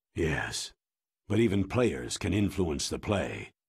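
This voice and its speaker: A man growls in a put-on character voice with a very deep, low pitch. His intonation is lively and his pace fairly slow. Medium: video game. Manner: measured, weary.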